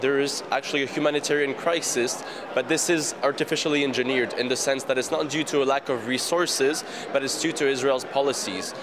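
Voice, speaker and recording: Over noticeable background noise, a man speaks at a fairly quick pace and fairly high pitch, with very even loudness and fairly even intonation. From France. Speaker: water rights activist. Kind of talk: interview.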